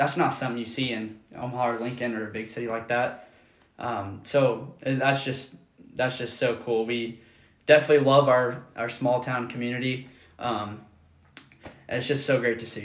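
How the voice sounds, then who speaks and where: A man with an American accent speaks at a medium pitch and a moderate pace. His intonation is monotone and flat, with audible room echo. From US Midwest, rural Nebraska. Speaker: podcast co-host, college student. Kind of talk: casual chat.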